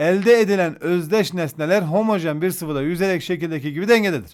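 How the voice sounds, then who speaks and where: With lively intonation, a man talks at a fairly quick pace in a high pitch. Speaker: physics teacher. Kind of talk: tutorial. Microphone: new microphone.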